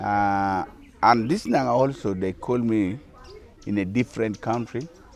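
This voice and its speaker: A man with a Ugandan accent speaks at a fairly slow pace in a medium pitch with ordinary pitch variation. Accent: Ugandan (Acholi) English. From Northern Uganda, Kitgum District. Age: 60s. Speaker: traditional musician and dance group leader. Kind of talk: interview. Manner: halting.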